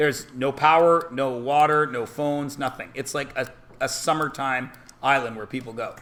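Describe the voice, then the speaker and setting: A man with a Canadian accent sounds animated, with audible room echo around him. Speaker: math teacher. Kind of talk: classroom talk. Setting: classroom.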